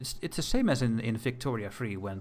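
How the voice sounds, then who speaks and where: A medium-pitched man's voice with a Dutch accent over background music. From Netherlands. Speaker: gaming streamer. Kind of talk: casual livestream commentary. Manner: hesitant, repeating words.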